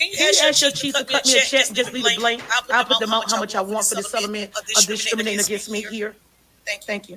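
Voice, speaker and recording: A loud woman's voice at a fairly high pitch, very fast, with fairly even intonation. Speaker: citizen journalist livestreamer. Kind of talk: livestream talk.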